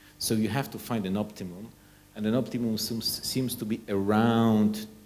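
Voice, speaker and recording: A man with a Polish accent, audible room echo around him. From Poland. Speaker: nuclear energy researcher. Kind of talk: conference presentation. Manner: halting, with frequent repetitions.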